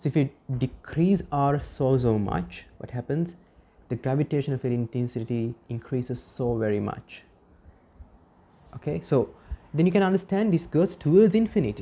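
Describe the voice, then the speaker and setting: At a moderate pace, a woman with a very deep, low, dark and mellow voice makes very wide pitch swings and leaves long, frequent pauses. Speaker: physics teacher. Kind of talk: lecture.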